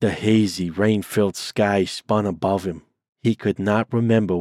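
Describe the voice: Plain reading aloud with fairly even intonation is heard over a quiet background.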